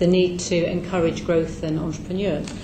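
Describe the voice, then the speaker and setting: A woman speaks with a British accent. Audible room echo and noticeable background noise surround her. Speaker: charity advice organisation representative. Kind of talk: parliamentary committee evidence. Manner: soft-spoken.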